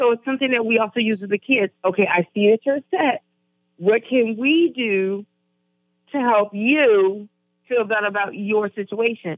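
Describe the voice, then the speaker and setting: A woman talks in a normal speaking voice, fairly high in pitch and with ordinary pitch variation. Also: moderate pace. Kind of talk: casual talk show chat.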